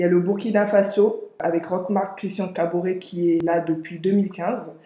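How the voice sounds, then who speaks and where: A woman's dark, mellow voice stays monotone and flat. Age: 20s. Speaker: podcast host. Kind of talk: scripted reading; casual discussion.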